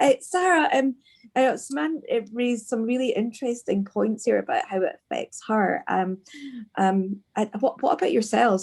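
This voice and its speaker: A somewhat breathy voice with a Scottish accent. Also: woman. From Scotland. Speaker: podcast host. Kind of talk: podcast interview. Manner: hesitant, many fillers.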